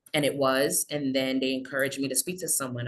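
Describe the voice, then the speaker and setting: A woman speaks with an American accent at a fairly quick pace. Her pitch is very deep and low. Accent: American accent, Trinidadian can slip out. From Trinidad. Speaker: social work intern. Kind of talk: webinar panel discussion. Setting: video call.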